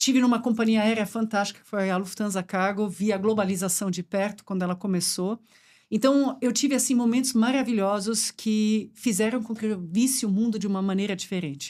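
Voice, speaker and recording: Speaking at a fairly quick pace, a woman uses a fairly high pitch and fairly even intonation on a very clean recording with a silent background. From Brazil, German and Swiss parents. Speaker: supply chain executive. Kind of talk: podcast conversation.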